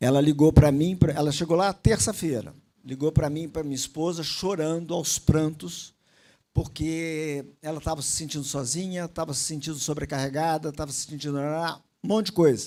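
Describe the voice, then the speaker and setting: On a very clean recording with a silent background, a man with a dark, mellow tone speaks at a fairly high pitch and a moderate pace, his intonation fairly even and his loudness swinging widely. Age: 60s. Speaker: motivational speaker, former naval officer. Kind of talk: motivational talk. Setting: stage with audience.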